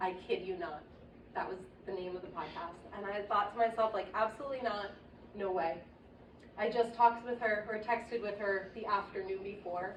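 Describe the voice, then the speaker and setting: A woman's medium-pitched voice at a moderate pace, with fairly even intonation, big swings in loudness and noticeable background noise. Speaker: friend of the deceased giving a eulogy. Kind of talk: eulogy. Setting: memorial service. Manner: stammering.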